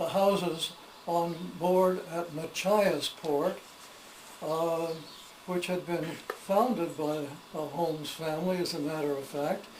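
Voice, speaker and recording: With an American accent, the speaker talks very slowly with fairly even intonation and long, frequent pauses amid noticeable background noise. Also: man, high pitch for a man. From Maine, USA. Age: 80s+. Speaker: historian and storyteller. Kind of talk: casual talk to camera, home tour.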